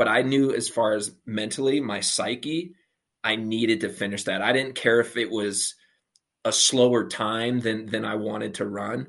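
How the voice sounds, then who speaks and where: Against a quiet background, a man in a normal speaking voice talks at a moderate pace, with medium pitch and fairly even intonation. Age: 30s. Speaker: professional athlete. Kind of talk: casual chat.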